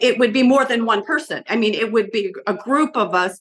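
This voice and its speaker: At a moderate pace, a woman talks in a plain, everyday voice with a fairly high pitch and ordinary pitch variation. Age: 60s. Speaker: abuse survivor interviewee. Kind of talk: interview.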